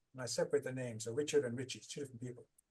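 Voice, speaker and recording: The speaker is a man with a somewhat breathy voice. His pitch sits in the medium range. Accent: Irish. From Ireland. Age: 60s. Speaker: author and trauma recovery coach. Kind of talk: podcast interview.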